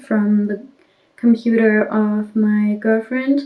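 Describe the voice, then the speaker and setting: A soft-spoken, somewhat breathy woman with a fairly high pitch and a dark, mellow tone. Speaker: YouTuber sharing life with dissociative identity disorder. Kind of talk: casual vlog while doing makeup. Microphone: audio too quiet.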